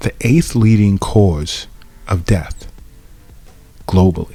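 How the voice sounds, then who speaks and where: Over background music, a man speaks at a fairly slow pace with ordinary pitch variation. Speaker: acupuncturist podcast host. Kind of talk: solo podcast monologue. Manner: conversational, with false starts.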